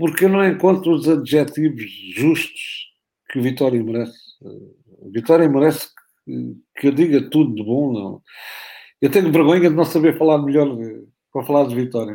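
Long, frequent pauses break up a man's fairly high, dark and mellow voice, which has ordinary pitch variation and big swings in loudness at a moderate pace, in a very clean recording with a silent background. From Algarve, Portugal. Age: 60s. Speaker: football coach. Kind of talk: interview.

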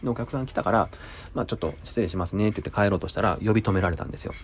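A man speaks with lively intonation. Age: 40s. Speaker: restaurant kitchen worker. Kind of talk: casual monologue.

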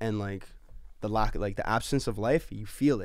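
In a very clean recording with a silent background, a man speaks at a fairly quick pace with a Canadian accent. His voice is fairly low, an ordinary speaking voice with ordinary pitch variation. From Canada, Edmonton. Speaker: recording artist. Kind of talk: casual chat.

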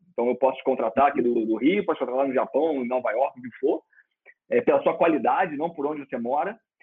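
With ordinary pitch variation, a man talks at a very fast pace in a fairly high pitch. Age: 30s. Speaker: former pizza chain executive. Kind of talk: interview.

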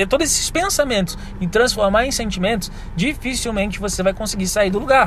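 Amid noticeable background noise, a man with a Brazilian accent speaks with very wide pitch swings. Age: 30s. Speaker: business consultant. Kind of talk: solo podcast monologue.

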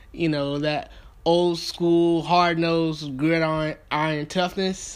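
A man with a Southern US accent speaks at a very slow pace in a high voice with monotone, flat intonation. The recording is very clean, with a silent background. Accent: Southern US (Georgia). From US South, Thomaston, Georgia. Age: 20s. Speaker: sports podcast host. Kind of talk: podcast monologue.

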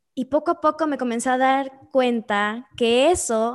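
The woman's high-pitched voice holds a fairly even intonation, with a dry, close sound and no echo. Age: 20s. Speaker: entrepreneur. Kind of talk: interview.

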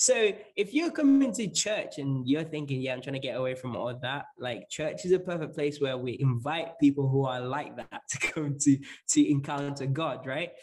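A man's somewhat breathy voice at a fairly high pitch. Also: ordinary pitch variation, moderate pace. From northern England (Lancashire), born in Zambia. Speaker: pastor. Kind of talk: casual interview.

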